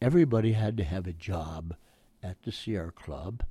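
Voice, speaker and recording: A man's voice is somewhat breathy, with a fairly low pitch and a dark, mellow tone. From Oakland, California. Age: 90s. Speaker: war veteran. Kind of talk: oral history interview, recalling WWII. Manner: elderly, conversational.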